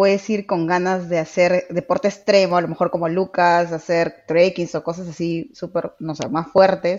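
An unremarkable speaking voice from a woman, fairly low in pitch and at a fairly slow pace. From Peru, Trujillo. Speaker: life coach. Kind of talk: casual chat.

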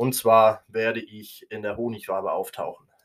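The recording is very clean, with a silent background. A man speaks at fairly low pitch and a moderate pace. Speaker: podcast host. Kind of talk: opinion monologue. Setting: home recording room, nearly emptied while moving.

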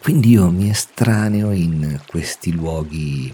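Over noticeable background noise, a man with a very deep, low pitch talks at a very slow pace with lively intonation. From Umbria, central Italy. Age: 40s. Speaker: nature photographer and podcaster. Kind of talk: solo podcast monologue. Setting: at home.

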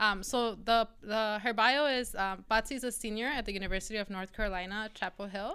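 On a very clean recording with a silent background, a woman talks at a fairly quick pace in a bright, sharp tone with fairly even intonation. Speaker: podcast co-host, former high school teacher. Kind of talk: casual chat.

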